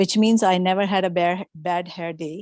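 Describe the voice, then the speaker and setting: Moderately paced, a woman with a Pakistani accent speaks at a medium pitch with fairly even intonation, in a dry, close sound with no echo on a very clean recording with a silent background. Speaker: workshop speaker. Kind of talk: testimony. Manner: halting.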